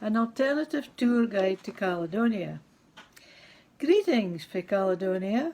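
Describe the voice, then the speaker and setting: Fairly high-pitched and lively in intonation, a woman with a Scottish accent at a fairly slow pace. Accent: Scots. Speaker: poet. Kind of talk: poetry reading.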